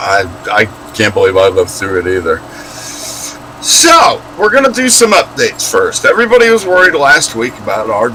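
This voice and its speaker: Noticeable background noise is present. The speaker is a man. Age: 60s. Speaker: live stream co-host. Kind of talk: casual chat.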